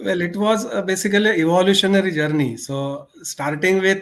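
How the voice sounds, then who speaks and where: Speaking at a moderate pace, a man talks with a Marathi accent. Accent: Indian English, Marathi. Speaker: author. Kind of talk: interview.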